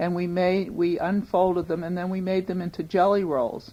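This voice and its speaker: A woman with a Boston accent speaks in a dark, mellow tone at a fairly slow pace. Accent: Boston-area American. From US Northeast, Newton, Massachusetts. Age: 50s. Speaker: longtime resident recounting family business. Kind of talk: oral history interview.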